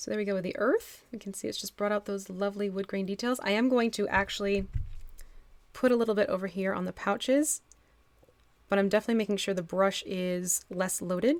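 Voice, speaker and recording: Speaking at a fairly quick pace, a woman has a medium-pitched voice. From Texas, moved to New Jersey as a child. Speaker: miniature painting streamer. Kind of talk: live stream painting tutorial with chat. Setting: live stream. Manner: animated.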